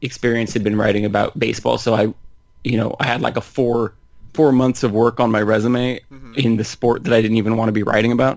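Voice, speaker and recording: At a fairly quick pace, a man with an American accent and a normal speaking voice talks at a medium pitch with fairly even intonation. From Northern California. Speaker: basketball writer. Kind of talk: casual chat.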